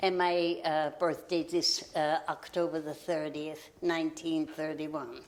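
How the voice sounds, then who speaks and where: With hardly any pauses, a woman talks at a fairly slow pace and a fairly low pitch in a monotone, flat intonation, over noticeable background noise. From Austria. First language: German. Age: 90s. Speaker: local history interviewee. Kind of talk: oral history interview.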